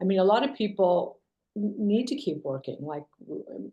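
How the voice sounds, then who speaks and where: A woman's voice sits at medium pitch and carries a dark, mellow tone. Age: 60s. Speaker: company co-founder and CEO. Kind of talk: interview. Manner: hesitant, many fillers.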